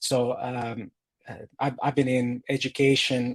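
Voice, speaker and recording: A man of medium pitch with a Croatian accent against a quiet background. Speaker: data educator and tech executive. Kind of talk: interview. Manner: halting, many fillers.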